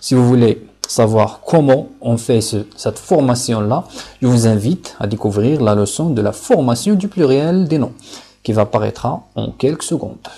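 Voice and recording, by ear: A man speaks at a moderate pace and medium pitch, with lively intonation and few pauses. His tone is dark and mellow, with a slightly husky edge.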